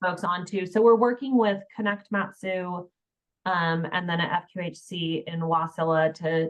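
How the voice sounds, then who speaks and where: Talking at a fairly slow pace, a woman with an unremarkable speaking voice uses a fairly low pitch and ordinary pitch variation. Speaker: health information exchange presenter. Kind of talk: webinar presentation.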